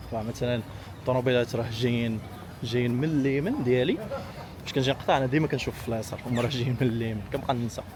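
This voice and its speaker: A man talks at a very fast pace with fairly even intonation. His pitch is medium for a man, and noticeable background noise runs underneath. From Morocco. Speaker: travel vlogger. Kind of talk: casual talk to camera.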